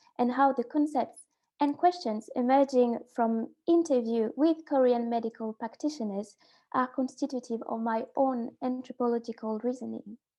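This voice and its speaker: With a dark, mellow tone and a high pitch, this woman talks at a moderate pace with ordinary pitch variation against a quiet background. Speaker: graduate student researcher. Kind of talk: conference presentation. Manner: halting.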